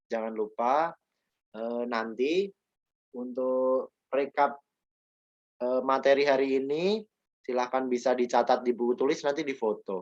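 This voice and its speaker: In a Yogyakarta accent, the speaker talks at a fairly slow pace with ordinary pitch variation and long, frequent pauses, in a dry, close sound with no echo. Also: man, medium pitch for a man. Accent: Javanese (Yogyakarta) accent, somewhat strong. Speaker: teacher. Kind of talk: online class lecture. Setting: video call.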